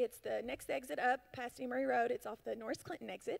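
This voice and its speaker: A woman talks fairly quickly while the background stays quiet. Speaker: church announcer. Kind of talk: church announcements. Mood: friendly, upbeat. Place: church. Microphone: handheld.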